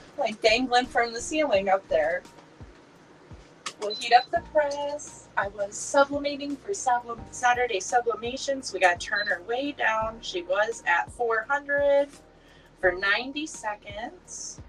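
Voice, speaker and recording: A woman's high voice, lively in its intonation, at a fairly slow pace over background music. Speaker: crafting livestream host. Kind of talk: casual livestream tutorial. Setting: live stream from home craft room. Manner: chatty.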